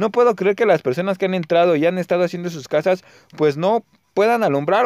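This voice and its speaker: This man has a high-pitched voice and speaks at a fairly quick pace with ordinary pitch variation. The sound is dry and close, with no echo. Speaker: gaming youtuber. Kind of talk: gameplay commentary. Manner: casual, chatty.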